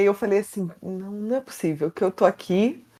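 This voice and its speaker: Speaking with a Carioca accent, a woman uses a medium pitch, ordinary pitch variation and a moderate pace. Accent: carioca (Rio) accent, noticeable. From Brazil, Rio de Janeiro. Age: 30s. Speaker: mental health communicator, psychoanalysis. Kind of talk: podcast interview.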